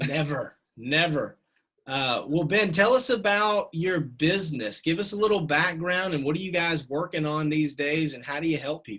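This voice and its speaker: A man with a Southern US accent, a fairly high pitch, lively intonation and a bright, sharp tone. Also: moderate pace. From US South, Atlanta. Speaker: podcast interviewer. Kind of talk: interview.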